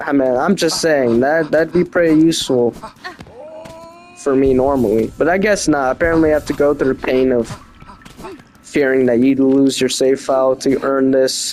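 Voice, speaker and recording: With music in the background, a man with a fairly high pitch talks at a moderate pace, his loudness very even, his pitch variation ordinary, and his speech marked by long, frequent pauses. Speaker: gaming video creator. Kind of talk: casual gameplay commentary. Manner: halting.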